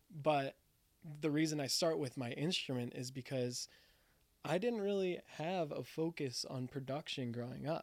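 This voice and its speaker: A man in a normal speaking voice keeps a moderate pace, his fairly high pitch showing ordinary pitch variation. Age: 20s. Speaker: podcast host. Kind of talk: casual chat.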